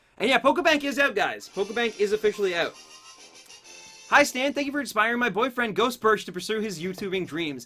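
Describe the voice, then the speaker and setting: With music in the background, the speaker talks at a very fast pace in an upbeat tone with a slight Canadian accent. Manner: upbeat, friendly, YouTuber style.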